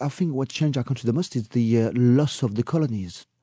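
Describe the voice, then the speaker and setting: A man's dark, mellow tone moves along at a fairly quick pace. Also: dry, close sound with no echo. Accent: French. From France. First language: French. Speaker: tour guide. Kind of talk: casual interview.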